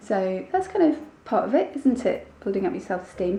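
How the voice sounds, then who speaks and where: A woman is heard over noticeable background noise. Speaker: vlogger. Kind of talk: casual vlog. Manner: subdued.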